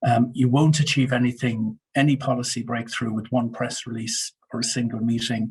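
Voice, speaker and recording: The man's voice is somewhat breathy, with medium pitch and monotone, flat intonation. He speaks at a moderate pace. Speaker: media and communications consultant. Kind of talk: webinar presentation. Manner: hesitant, many fillers.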